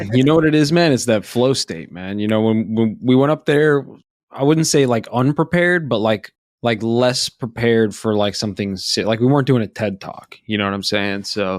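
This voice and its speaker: An unremarkable speaking voice with an American accent moves at a moderate pace with lively intonation, recorded very clean with a silent background and a dry, close sound with no echo. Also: man, medium pitch for a man. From Florida. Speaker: podcast co-host. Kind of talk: casual chat.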